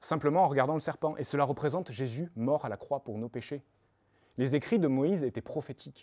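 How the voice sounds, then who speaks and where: A man with a Toulouse accent speaks at medium pitch with a dark, mellow tone. The recording is very clean, with a silent background. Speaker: preacher. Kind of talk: sermon.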